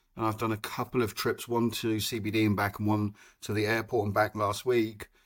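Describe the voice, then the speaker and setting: The recording is very clean with a silent background, capturing a man at a medium pitch. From Europe. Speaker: car owner. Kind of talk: casual interview. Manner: hesitant, many fillers.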